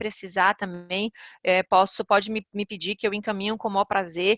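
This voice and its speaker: A bright, sharp tone in a Ceará accent comes through with a dry, close sound and no echo. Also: woman. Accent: northeastern Brazilian (Ceará). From Ceará, northeastern Brazil. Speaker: corporate lawyer and compliance officer. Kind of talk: webinar presentation.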